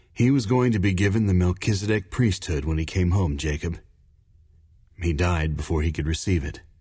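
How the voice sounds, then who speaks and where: A man's very deep, low voice, somewhat breathy, with ordinary pitch variation at a moderate pace. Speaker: audiobook narrator. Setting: studio. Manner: measured, formal, earnest narrator pacing.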